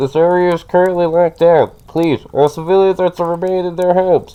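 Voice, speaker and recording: Putting on a character voice, a man speaks high, fairly quickly, and in a monotone, flat intonation. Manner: monotone, flat, bureaucratic.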